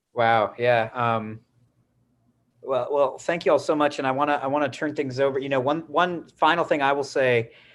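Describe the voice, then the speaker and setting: The recording is very clean, with a silent background. A man with a normal speaking voice talks at a moderate pace and medium pitch. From Wisconsin. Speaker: writer and teacher, panel moderator. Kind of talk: panel moderation.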